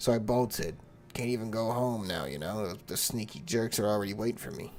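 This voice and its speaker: A raspy, put-on character voice from a man, fairly low in pitch, fairly quick, with lively intonation over clear background noise. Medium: game stream. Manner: casual, rambling.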